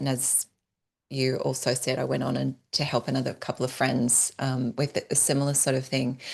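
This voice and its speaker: This woman talks at a fairly quick pace with an Australian accent. Her pitch is very deep and low, and the background is quiet. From Australia (northern New South Wales, near Byron Bay). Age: 40s. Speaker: entrepreneur and business strategist. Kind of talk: podcast interview.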